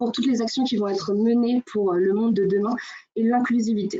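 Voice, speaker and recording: A woman talks at a moderate pace, her fairly high voice showing ordinary pitch variation. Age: 20s. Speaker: association co-founder. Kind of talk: webinar presentation. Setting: online webinar. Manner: hesitant, many fillers.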